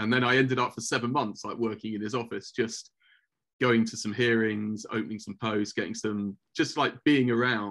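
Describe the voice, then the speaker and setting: The speaker has a London accent and a fairly quick pace. Intonation stays fairly even. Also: man. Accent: British English, London. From England. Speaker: former office director for a rabbi. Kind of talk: podcast interview. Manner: halting, many repeated words.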